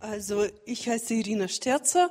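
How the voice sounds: A woman speaks with lively intonation at a fairly high pitch, her tone slightly mellow.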